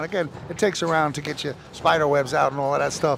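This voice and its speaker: Noticeable background noise surrounds this recording. A man talks at a fairly quick pace with a fairly high pitch. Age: 60s. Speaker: fight commentator. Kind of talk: live commentary. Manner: animated.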